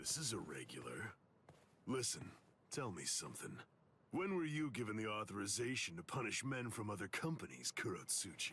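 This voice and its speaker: A man uses a put-on character voice with a menacing tone. He speaks at a moderate pace in a medium pitch. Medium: video game. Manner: gruff, menacing.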